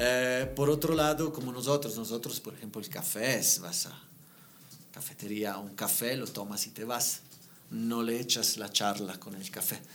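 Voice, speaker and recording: Over noticeable background noise, a man with an Italian accent speaks with big swings in loudness. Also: medium pitch for a man, ordinary pitch variation, fairly slow pace. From Italy. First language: Italian (speaking Spanish). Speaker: interior designer. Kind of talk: podcast interview. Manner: halting.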